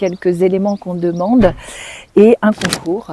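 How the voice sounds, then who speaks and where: Over noticeable background noise, a woman speaks at a fairly slow pace in a medium pitch with fairly even intonation. The sound is dry and close with no echo. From France, Nancy (Lorraine). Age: 60s. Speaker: speech therapist. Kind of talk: interview.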